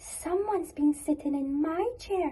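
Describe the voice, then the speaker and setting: In a squeaky, put-on character voice, a female-sounding speaker talks at a moderate pace with an extremely high pitch. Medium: read story.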